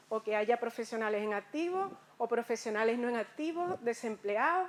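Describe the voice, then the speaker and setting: A woman talks with lively intonation. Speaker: conference speaker. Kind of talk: lecture.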